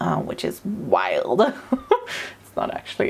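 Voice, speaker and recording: A woman speaks with a Swedish accent. Her pace is moderate. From Sweden. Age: 30s. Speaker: artist. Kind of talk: casual narration over drawing video. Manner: hesitant, many fillers.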